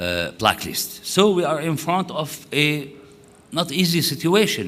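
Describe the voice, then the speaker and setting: An Arabic accent at a fairly slow pace, with audible room echo. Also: man. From Syria. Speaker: conference speaker. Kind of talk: conference talk. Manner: halting.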